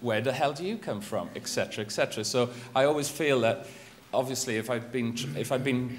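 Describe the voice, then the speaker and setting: A man with a Welsh accent talks at a fairly quick pace. Noticeable background noise and audible room echo surround him. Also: medium pitch for a man, ordinary pitch variation. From Wales. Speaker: journalist and magazine editor. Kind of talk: conference presentation. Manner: hesitant, many fillers and restarts.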